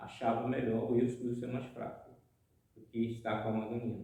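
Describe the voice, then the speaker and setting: A man's somewhat breathy voice with a dark, mellow tone and audible room echo. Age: 60s. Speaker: housing movement activist. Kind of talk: interview testimony.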